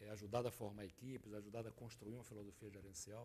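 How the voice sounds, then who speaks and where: Talking at a very fast pace, a man sounds somewhat breathy, with a dark, mellow tone. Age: 60s. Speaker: business consultant and former executive. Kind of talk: TV interview. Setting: TV studio.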